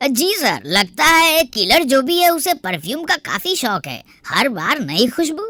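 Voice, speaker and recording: A cartoonish character voice, high-pitched with very wide pitch swings, at a moderate pace. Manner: deferential.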